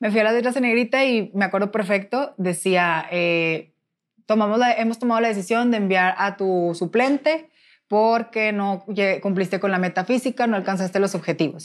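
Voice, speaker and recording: A woman with an unremarkable speaking voice talks at medium pitch and a moderate pace, with ordinary pitch variation and very even loudness. The recording is very clean, with a silent background. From Mexico, Nuevo León (Monterrey). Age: 20s. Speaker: former beauty queen, pageant director. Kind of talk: interview testimony.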